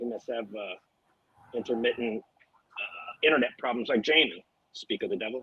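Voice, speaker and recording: With an American accent, a man talks at a moderate pace, with long, frequent pauses and big swings in loudness. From US South. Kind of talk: casual chat.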